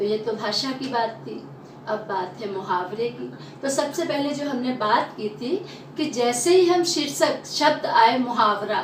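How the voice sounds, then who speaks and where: Noticeable background noise and audible room echo come through. A woman speaks over them in a high voice with lively intonation. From Bundelkhand, central India. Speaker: Hindi teacher. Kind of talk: lecture.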